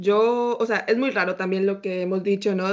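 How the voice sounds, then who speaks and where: Her voice is a woman's medium pitch with fairly even intonation. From Colombia. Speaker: podcast co-host. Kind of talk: casual chat.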